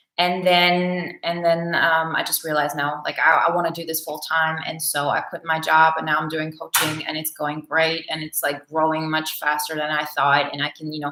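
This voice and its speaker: With a Bulgarian accent and monotone, flat intonation, the speaker goes at a moderate pace with hardly any pauses over noticeable background noise. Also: woman, very deep, low pitch for a woman. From Germany. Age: 30s. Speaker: personality type coach. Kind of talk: live Q&A. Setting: livestream. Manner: hesitant, many fillers.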